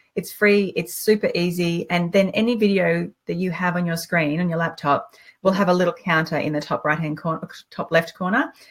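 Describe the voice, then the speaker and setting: Somewhat breathy and fairly low in pitch, a woman speaks with fairly even intonation. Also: fairly quick pace. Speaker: online business coach, live show host. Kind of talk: casual live-stream chat. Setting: live video stream. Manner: fast.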